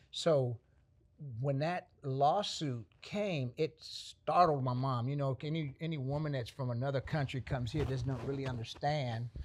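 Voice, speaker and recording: The man's voice is somewhat breathy and fairly high in pitch. The recording is very clean, with a silent background. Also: ordinary pitch variation, moderate pace. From Panama, raised in Dallas, Texas. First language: Spanish. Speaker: artist. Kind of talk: interview answer.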